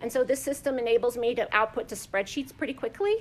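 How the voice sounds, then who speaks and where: A woman speaks with a high pitch and ordinary pitch variation. The recording is very clean, with a silent background. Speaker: museum imaging professional. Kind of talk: conference presentation. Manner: fast.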